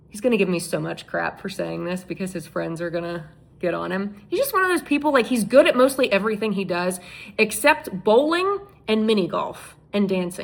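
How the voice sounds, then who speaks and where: Fairly quick and lively, a woman speaks at medium pitch in an ordinary speaking voice. Her loudness swings widely. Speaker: TV news journalist. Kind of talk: casual talk to camera.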